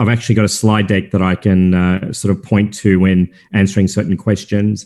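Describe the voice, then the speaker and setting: A man with an Australian accent, a dark, mellow tone and monotone, flat intonation, on a very clean recording with a silent background. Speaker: crypto company founder and chairman. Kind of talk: interview. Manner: halting, many fillers and repeated words.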